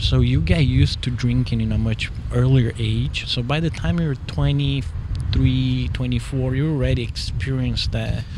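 A man with a Portuguese accent at a fairly slow pace, with audible room echo and noticeable background noise. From Brazil, São Paulo. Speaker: soccer dad. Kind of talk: casual chat. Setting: brewery.

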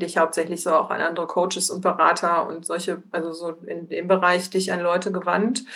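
Her medium-pitched voice stays in a monotone, flat intonation as the woman speaks. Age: 40s. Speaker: entrepreneur, print shop owner. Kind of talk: podcast interview. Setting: remote video call.

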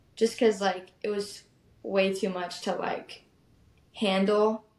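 Speaking fairly slowly, the woman has an ordinary speaking voice. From Arizona, US. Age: young. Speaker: country singer. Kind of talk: casual chat.

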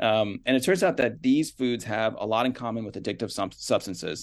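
Against a quiet background, a man talks at a fairly quick pace in an ordinary speaking voice. His medium pitch shows ordinary variation. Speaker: health journalist. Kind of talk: interview.

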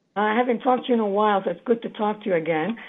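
Speaking very fast, a woman keeps a medium pitch with ordinary pitch variation.

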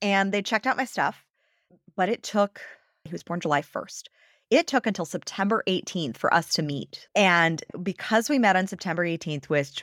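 A woman with an American accent speaks at a fairly quick pace in a plain, everyday voice with lively intonation. The recording is very clean, with a silent background and a dry, close sound with no echo. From Los Angeles, US. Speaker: business coach. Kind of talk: interview conversation.

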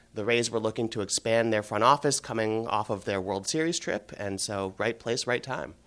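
With a normal speaking voice, a man with an American accent speaks at medium pitch and a moderate pace, with hardly any pauses and ordinary pitch variation. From US Midwest, Cleveland. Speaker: baseball executive. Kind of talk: interview.

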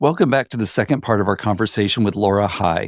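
A man with an American accent at a very fast pace, fairly low in pitch with ordinary variation, in a very clean, dry, close recording with a silent background and no echo. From US, small town. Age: 50s. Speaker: podcast host. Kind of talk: scripted narration.

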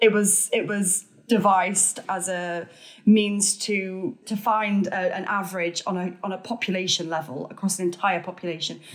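At a moderate pace, a woman speaks with medium pitch and fairly even intonation in an ordinary speaking voice. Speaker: author and podcaster. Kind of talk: casual interview chat.

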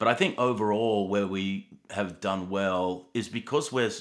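A man's fairly low-pitched voice carries an Australian accent. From Australia, Sydney. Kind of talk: interview conversation. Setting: remote call.

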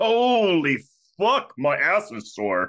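A female-sounding voice puts on a gruff character voice at a medium pitch for a woman. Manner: gruff and tired.

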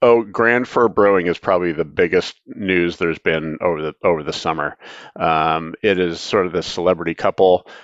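Over a quiet background, a man with a very deep, low pitch speaks at a moderate pace with ordinary pitch variation and a dry, close sound with no echo. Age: 50s. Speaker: beer writer and newsletter editor. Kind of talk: casual chat. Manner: hesitant, many fillers.

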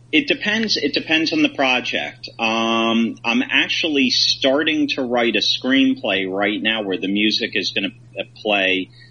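Speaking fairly slowly with hardly any pauses, a man with an American accent uses lively intonation over noticeable background noise. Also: medium pitch for a man. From Philadelphia area, then Michigan. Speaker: film director. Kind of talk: casual interview chat.

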